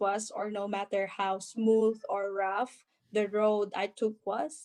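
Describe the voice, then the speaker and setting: In a Filipino accent, a woman speaks at a very slow pace. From Philippines. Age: 30s. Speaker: nurse. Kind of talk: interview answer.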